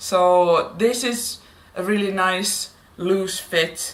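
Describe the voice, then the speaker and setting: A woman with a non-native accent talks at a medium pitch with ordinary pitch variation. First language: Finnish. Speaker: plus-size fashion vlogger. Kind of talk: haul video, casual talk to camera. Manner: hesitant, with fillers.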